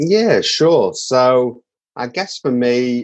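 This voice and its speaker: Pitch varies in an ordinary way as a man talks with a British accent. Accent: English (UK). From northern England, Manchester. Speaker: songwriter and mental health advocate. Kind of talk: podcast interview. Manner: hesitant, with filler words.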